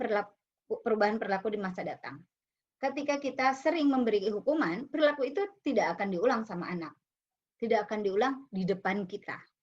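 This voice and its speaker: Here a woman speaks at a very fast pace. Her pitch is fairly high and her intonation lively. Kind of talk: lecture-style explanation about discipline and punishment. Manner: loud, forceful.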